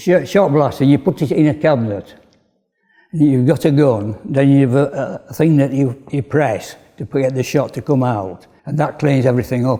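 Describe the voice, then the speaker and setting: A man with a Yorkshire accent, fairly high pitch, a dark, mellow tone and a moderate pace. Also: ordinary pitch variation. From northern England, Bradford, West Yorkshire. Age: 80s+. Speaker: retired cycle frame builder. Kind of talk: interview.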